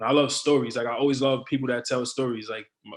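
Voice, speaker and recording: A man speaks in a New York accent at a medium pitch. His intonation is flat and monotone. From New York City (Brooklyn and the Bronx). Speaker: rapper. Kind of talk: interview.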